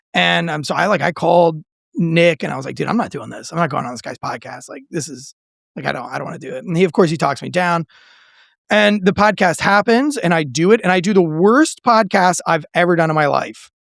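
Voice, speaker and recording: A man speaks in an animated tone at a high pitch. His intonation is lively, and his loudness swings widely. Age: 40s. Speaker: veteran and author. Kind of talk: casual chat.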